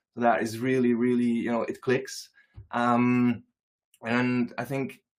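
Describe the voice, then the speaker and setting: At a very slow pace, a man speaks in a medium-pitched voice. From Flanders, Belgium. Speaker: art content creator. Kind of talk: panel discussion. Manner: halting.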